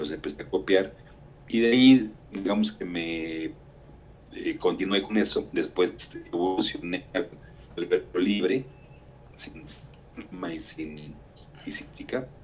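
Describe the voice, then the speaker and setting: Here a man talks at a fairly slow pace, with long, frequent pauses. His loudness swings widely. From Mexico. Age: 60s. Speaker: writer and architect. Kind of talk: interview.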